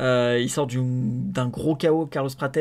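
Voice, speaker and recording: On a very clean recording with a silent background, a man speaks at medium pitch with fairly even intonation. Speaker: MMA podcaster. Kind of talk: solo podcast commentary. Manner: fast; halting, many fillers.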